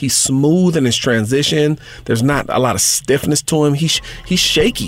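A man with an American accent and a fairly high pitch, at a moderate pace with ordinary pitch variation, over noticeable background noise. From Southern California. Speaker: high school football scout and podcast host. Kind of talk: solo sports podcast commentary. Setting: studio. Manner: brash.

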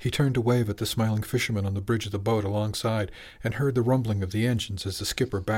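A person reads aloud in a natural voice, keeping the intonation fairly even.

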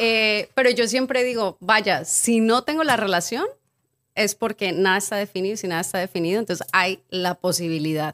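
An unremarkable speaking voice belongs to a woman at medium pitch, speaking at a moderate pace with ordinary pitch variation. The sound is dry and close with no echo, on a very clean recording with a silent background. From Mexico, Acapulco. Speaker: cacao ceremony guide, businesswoman. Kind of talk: casual chat.

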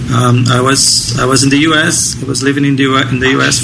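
A man with a Brazilian accent, talking at a fairly slow pace in a monotone with flat intonation, over noticeable background noise. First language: Portuguese. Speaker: homebrewer.

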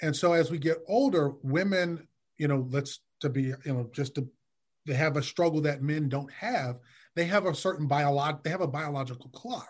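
Against a quiet background, a man with an American accent speaks at a moderate pace in a somewhat breathy voice. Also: ordinary pitch variation. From Detroit, US Midwest. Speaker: licensed therapist. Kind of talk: casual interview.

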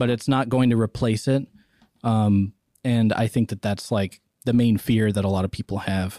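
An unremarkable speaking voice moves at a moderate pace with fairly even intonation. The sound is dry and close, with no echo. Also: man, medium pitch for a man, very clean recording, silent background. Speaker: podcast co-host. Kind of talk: casual chat.

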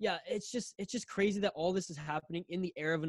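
A man with a western Canadian accent, fairly quick pace and ordinary pitch variation, in a dry, close sound with no echo. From Canada. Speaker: podcast host. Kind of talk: casual chat.

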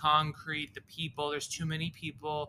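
A bright, sharp tone with an American accent. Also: man. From US South, Boca Raton, Florida. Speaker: actor and improv comedian. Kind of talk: casual chat.

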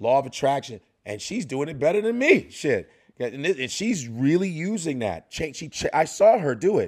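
With a Chicago accent, a man talks at a fairly quick pace using lively intonation. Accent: Chicago American. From Chicago, north side. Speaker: comedian. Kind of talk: casual interview chat.

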